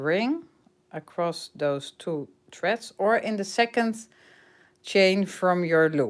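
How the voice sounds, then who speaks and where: A woman with a Dutch accent speaks at a very slow pace with lively intonation. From Netherlands. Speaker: crochet teacher. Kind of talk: tutorial. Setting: livestream. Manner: halting.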